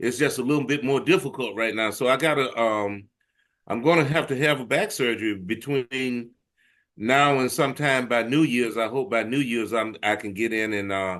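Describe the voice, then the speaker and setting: Against a quiet background, a man with a Southern US accent talks at a moderate pace. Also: medium pitch for a man, ordinary pitch variation. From US South, Arkansas. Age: 60s. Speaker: blues musician. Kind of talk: interview.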